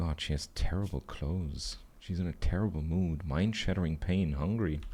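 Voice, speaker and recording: A dark, mellow tone comes through. There is a somewhat breathy quality to the voice. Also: man, very deep, low pitch for a man, ordinary pitch variation, moderate pace. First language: German. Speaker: video game streamer. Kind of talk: live gameplay commentary. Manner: animated.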